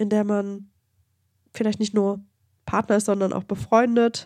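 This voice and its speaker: Dark, mellow tone from a woman at a medium pitch, intonation monotone and flat. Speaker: true crime podcast co-host. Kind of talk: casual chat.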